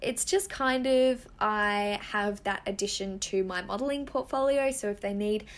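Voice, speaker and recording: An animated woman with an Australian accent, against noticeable background noise. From Western Australia. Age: 20s. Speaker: model and podcast host. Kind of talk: casual chat.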